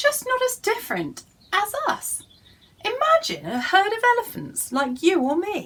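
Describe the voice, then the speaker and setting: Putting on a character voice, a woman speaks at an extremely high pitch and a moderate pace. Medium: read story.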